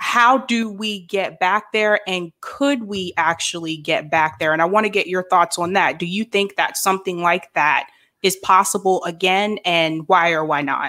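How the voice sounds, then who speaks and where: With an American accent, a woman speaks at medium pitch and a moderate pace in a bright, sharp tone, with ordinary pitch variation and hardly any pauses. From various places, military family. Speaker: podcast host. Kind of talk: interview.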